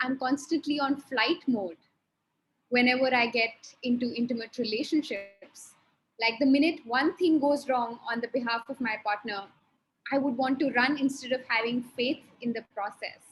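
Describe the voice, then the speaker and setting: Her pitch high, a woman speaks at a moderate pace with fairly even intonation. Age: 20s. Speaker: workshop participant. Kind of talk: personal sharing in online workshop.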